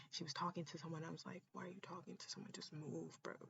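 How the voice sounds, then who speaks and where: Her voice sits fairly low in pitch for a woman. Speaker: podcast host. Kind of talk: casual monologue. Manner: animated; loud.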